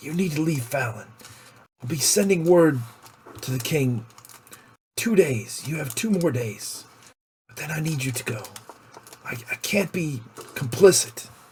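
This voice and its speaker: A man's quiet, raspy put-on character voice, fairly high in pitch, with lively intonation, a moderate pace and long, frequent pauses. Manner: lowered voice, hushed.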